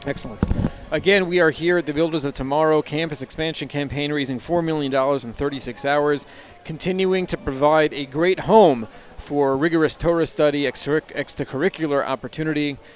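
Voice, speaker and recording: Mumbling at a fairly quick pace, a man with a fairly high pitch keeps fairly even intonation over noticeable background noise. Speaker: fundraiser broadcast host and yeshiva teacher. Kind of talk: live fundraiser broadcast. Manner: mumbling over words.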